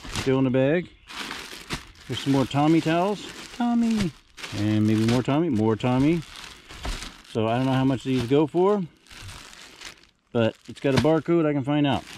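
Long, frequent pauses at a moderate pace, a dry sound with no echo, light background noise. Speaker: storage unit reseller. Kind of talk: casual vlog commentary. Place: garden. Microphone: phone near.

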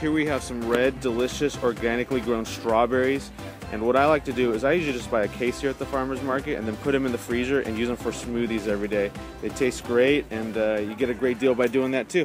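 A man's very fast speech with fairly even intonation, dry with no echo, and clear music in the background. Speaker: vlogger, health blogger. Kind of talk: casual vlog chat. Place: market. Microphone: phone near.

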